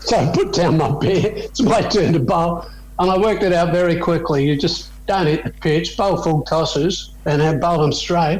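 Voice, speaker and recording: With an Australian accent and a high pitch, a man talks with hardly any pauses and very even loudness over noticeable background noise. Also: ordinary pitch variation, moderate pace. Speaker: former cricketer. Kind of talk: interview answer. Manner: casual, storytelling.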